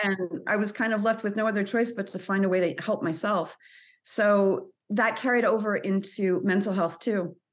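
With an American accent, a woman talks at a moderate pace in a plain, everyday voice, her intonation fairly even. The background is quiet. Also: medium pitch for a woman. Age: 40s. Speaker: anxiety coach. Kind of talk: interview.

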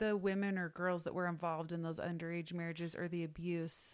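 A woman with an American accent speaks in an ordinary speaking voice at a fairly low pitch. The recording is very clean, with a silent background. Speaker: podcast host. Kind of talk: casual conversation.

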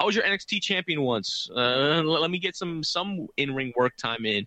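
Bright and sharp in tone, a man talks at a fairly quick pace in a fairly high pitch with lively intonation. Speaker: wrestling podcast co-host. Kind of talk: casual chat.

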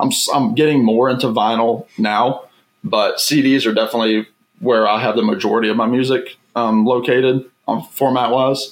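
A man speaks with an American accent at a medium pitch and a moderate pace, an ordinary speaking voice. His loudness is very even and his intonation fairly even. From US South, Virginia. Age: 20s. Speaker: YouTuber and record collector. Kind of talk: casual chat.

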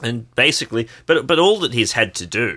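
On a very clean recording with a silent background, a man with an Australian accent speaks in a fairly low, bright, sharp voice with lively intonation. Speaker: podcast co-host. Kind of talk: casual political discussion.

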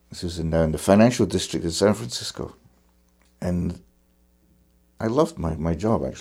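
A man with a Scottish accent speaks fairly quickly in a very deep, low voice with a dark, mellow tone and vocal fry. His intonation is lively, broken by long, frequent pauses. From Scotland. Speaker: fiddler. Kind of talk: interview conversation.

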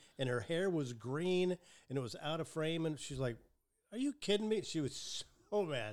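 A man with a fairly high voice for his sex. His pitch swings very widely. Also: moderate pace. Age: 60s. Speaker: podcast host. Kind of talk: casual chat. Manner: chatty, joking.

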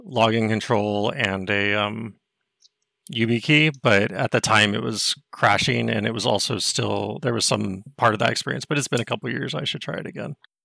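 Vocal fry runs through a bright, sharp tone with an American accent. The pace is moderate, and the pitch varies in an ordinary way. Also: man, fairly low pitch for a man. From Texas. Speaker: caller, IT worker. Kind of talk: call-in question.

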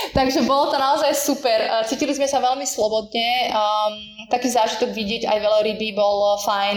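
Over noticeable background noise, a woman talks at a fairly quick pace. Her pitch is fairly high, and her intonation stays fairly even. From eastern Slovakia. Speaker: tour guide and small business owner. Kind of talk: casual interview.

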